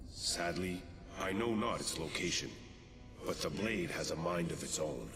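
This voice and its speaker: A put-on character voice at a moderate pace, over loud background noise. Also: man, very deep, low pitch for a man. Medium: game stream. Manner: archaic, formal and commanding.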